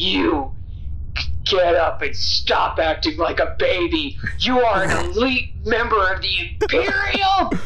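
A high-pitched put-on character voice moves at a fairly slow pace over loud background noise. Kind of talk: scolding, persuasive. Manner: loud, commanding.

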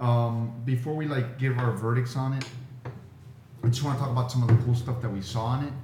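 Through noticeable background noise, a man talks at a fairly quick pace with medium pitch and monotone, flat intonation. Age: 40s. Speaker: podcast co-host. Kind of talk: casual chat.

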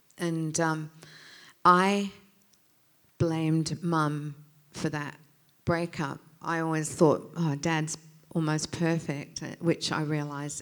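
A woman with an Australian accent speaks very slowly in a very deep, low pitch, monotone and flat, with long, frequent pauses. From England, moved to Australia as a child. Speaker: pastor. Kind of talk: sermon.

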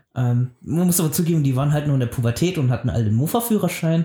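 A man's fairly high, somewhat breathy voice with a dark, mellow tone and ordinary pitch movement. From rural Germany. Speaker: animator and storyboard artist. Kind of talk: casual chat. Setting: video call.

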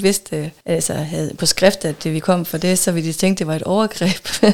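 Over noticeable background noise, a woman speaks at a moderate pace with fairly low pitch and fairly even intonation. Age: 40s. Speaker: podcast guest in an open relationship. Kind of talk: casual interview.

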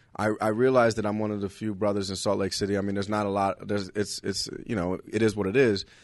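Against a quiet background, a man with an American accent speaks very fast in a fairly low, monotone, flat voice with hardly any pauses. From Los Angeles, California. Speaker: stand-up comedian. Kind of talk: casual chat.

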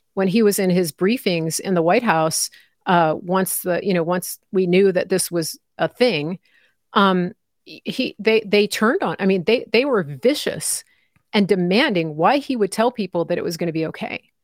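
On a very clean recording with a silent background and a dry, close sound with no echo, a woman with an ordinary speaking voice talks at a moderate pace, her medium pitch showing ordinary pitch variation. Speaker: independent journalist and commentator. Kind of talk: live interview. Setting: live stream.

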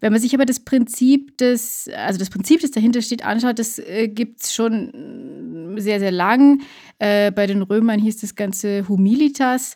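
A woman speaks at a fairly slow pace in a fairly high pitch. Her tone is dark and mellow, with ordinary pitch variation. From Lower Bavaria. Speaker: podcast co-host. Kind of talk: casual chat.

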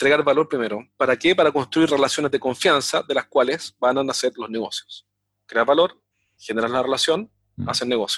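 An ordinary speaking voice moves at a fairly quick pace on a very clean recording with a silent background and a dry, close sound with no echo. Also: man, fairly high pitch for a man, ordinary pitch variation. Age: 40s. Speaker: sales consultant. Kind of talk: interview.

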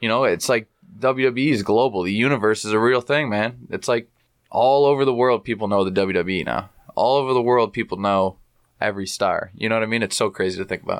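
At a fairly quick pace, a man talks in a plain, everyday voice of medium pitch with ordinary pitch variation. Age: 20s. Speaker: professional wrestler. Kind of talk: casual chat. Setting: home studio.

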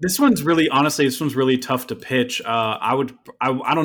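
A very fast-talking man with an American accent and ordinary pitch variation. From upstate New York. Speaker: singer-songwriter. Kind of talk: casual chat.

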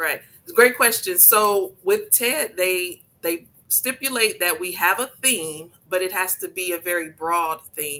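Bright and sharp in tone, a woman of medium pitch speaks with lively intonation in an American accent. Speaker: event organizer and entrepreneur. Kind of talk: radio interview.

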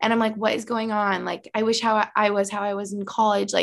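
Here a woman talks in an ordinary speaking voice at a fairly high pitch. Her pace is fairly quick, and the background is quiet. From Albany, New York. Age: 20s. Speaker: hockey player's girlfriend and YouTuber. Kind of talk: casual interview chat.

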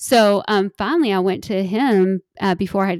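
Medium in pitch, a woman's voice keeps fairly even intonation. The sound is dry and close with no echo, in a very clean recording over a silent background. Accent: Kentucky. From Kentucky. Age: 40s. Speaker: model and influencer. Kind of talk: casual interview.

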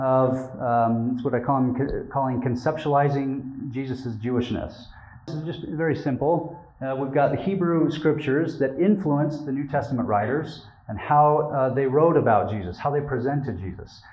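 A man with an American accent, fairly high in pitch with ordinary pitch variation, at a moderate pace with audible room echo. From Utah, US. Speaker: religion scholar and academic librarian. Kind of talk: lecture.

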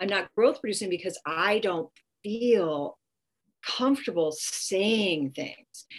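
Speaking very slowly with an American accent, the voice has lively intonation. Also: woman, medium pitch for a woman. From California, US. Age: 50s. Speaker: educator and coaching consultant. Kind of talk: interview.

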